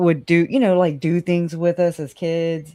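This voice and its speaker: A woman with a very deep, low pitch talks in a Southern US accent. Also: very clean recording, silent background. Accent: rural Southern US. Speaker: live stream guest. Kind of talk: casual chat.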